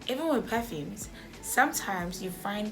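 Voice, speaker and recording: Music plays behind a woman's voice. The room echo is audible. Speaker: beauty and self-improvement vlogger. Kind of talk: casual tutorial vlog. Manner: fast.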